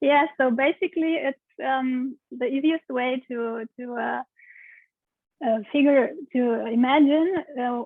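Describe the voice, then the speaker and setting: Very slowly and with long, frequent pauses, a woman speaks in a Romanian accent at a high pitch with fairly even intonation. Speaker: pelvic steam practitioner. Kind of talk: interview answer.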